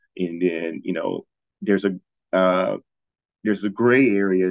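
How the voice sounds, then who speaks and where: With an American accent, a man talks at a moderate pace in a very deep, low pitch and monotone, flat intonation. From Ohio, US. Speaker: cybersecurity consultant. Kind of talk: interview. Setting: remote call from abroad. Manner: halting with many fillers.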